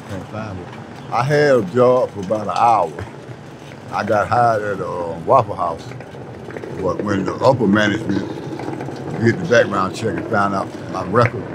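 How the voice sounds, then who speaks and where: A man at a moderate pace, with long, frequent pauses, ordinary pitch variation and big swings in loudness, in a dry sound with no echo over noticeable background noise. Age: 60s. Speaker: homeless man; interviewee. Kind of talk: interview. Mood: weary, resigned. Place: street.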